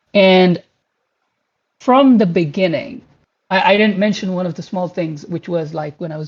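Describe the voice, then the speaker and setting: A man with a Pashto accent, at a moderate pace and with ordinary pitch variation. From Pakistan. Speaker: game graphics engineer. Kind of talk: career talk to online community. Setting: online community voice chat. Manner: hesitant, with fillers and repeated words.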